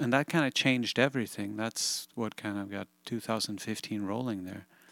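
This man talks at a moderate pace with a Swedish accent, a medium pitch and ordinary pitch variation, in a dry, close sound with no echo. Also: very clean recording, silent background. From Sweden. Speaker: guitarist and studio producer. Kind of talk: interview conversation. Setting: home recording studio.

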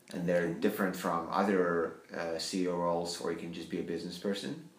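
A man speaks with a very deep, low pitch at a moderate pace. There is noticeable background noise. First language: not English. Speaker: company CEO. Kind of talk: interview.

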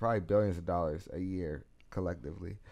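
At a fairly quick pace, an unremarkable speaking voice with an American accent shows ordinary pitch variation. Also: man. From US, Pittsburgh East Side (Garfield). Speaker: activist and public speaker. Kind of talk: casual interview. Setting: studio.

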